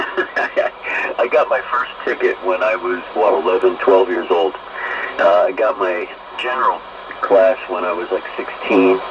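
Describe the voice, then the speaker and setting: A man talks fairly slowly, with noticeable background noise in the recording. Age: 60s. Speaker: ham radio operator. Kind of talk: casual radio conversation.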